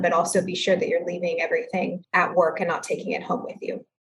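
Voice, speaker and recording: A woman with a somewhat breathy voice. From Texas, San Antonio. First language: Spanish. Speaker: judge. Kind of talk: interview.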